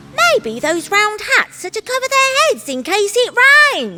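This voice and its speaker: In a put-on character voice, a woman talks at a fairly slow pace and an extremely high pitch. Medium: read story. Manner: excited.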